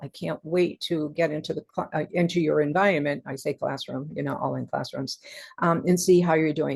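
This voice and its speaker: A woman talks at a moderate pace, her fairly low pitch carried in fairly even intonation. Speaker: professor. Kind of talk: recorded lecture.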